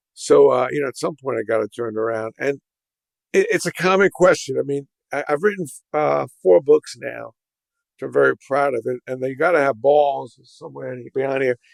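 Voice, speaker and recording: A man with a New York accent, recorded dry and close with no echo. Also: moderate pace. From New York City (Brooklyn). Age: 60s. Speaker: entrepreneur. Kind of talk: podcast interview.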